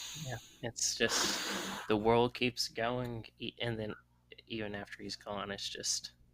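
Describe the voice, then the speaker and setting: A man at a medium pitch, very slow and monotone in a flat way, over noticeable background noise. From US South. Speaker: podcast host. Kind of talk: casual chat.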